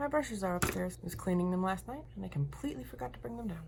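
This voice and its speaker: A woman's animated voice at a very fast pace, with audible room echo. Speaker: lifestyle and makeup vlogger. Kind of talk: casual vlog chat while doing makeup. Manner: chatty, animated.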